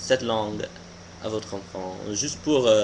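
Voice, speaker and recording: Lively intonation marks this fairly slow delivery in an American accent. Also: man. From US, Pennsylvania. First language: English (speaking French). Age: 20s. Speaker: vlogger. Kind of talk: casual opinion vlog monologue. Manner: halting, many hesitations and restarts.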